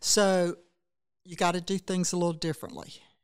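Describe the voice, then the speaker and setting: With a South Carolina accent, a woman speaks fairly slowly at a fairly low pitch on a very clean recording with a silent background. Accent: Southern US (South Carolina). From US South, Saluda County, South Carolina. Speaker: state education official, former teacher and legislator. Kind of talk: interview.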